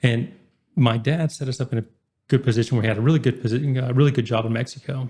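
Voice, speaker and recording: Words come at a very fast pace from a man with a dark, mellow tone. He sounds somewhat breathy, and his intonation is fairly even. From Oklahoma, small town Kingfisher. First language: Spanish. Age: 20s. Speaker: entrepreneur. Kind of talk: podcast interview.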